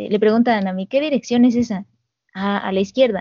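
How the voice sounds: A natural reading voice moves its pitch a normal amount, and the background is quiet.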